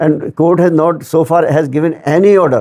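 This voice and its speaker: A man with a fairly high pitch speaks in a dark, mellow tone. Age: 70s. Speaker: retired bank executive, pensioners' activist. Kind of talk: interview answer.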